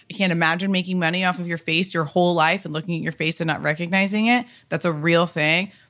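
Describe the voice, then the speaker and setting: On a very clean recording with a silent background, a woman talks at a very fast pace in a fairly low pitch with fairly even intonation. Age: 30s. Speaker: stylist and designer, podcaster. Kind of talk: casual chat.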